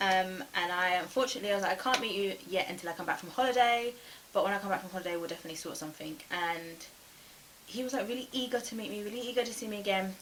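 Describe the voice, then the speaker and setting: The speech comes at a very fast pace with ordinary pitch variation and big swings in loudness. Noticeable background noise runs underneath. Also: woman. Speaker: YouTuber telling dating stories. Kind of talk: storytime vlog.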